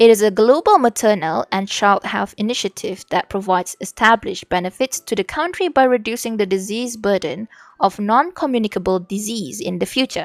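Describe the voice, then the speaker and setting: A woman with a Malaysian accent talks at a fairly high pitch with hardly any pauses. The sound is dry and close, with no echo. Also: lively intonation. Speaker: vtuber streamer. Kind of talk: reading aloud study notes on stream.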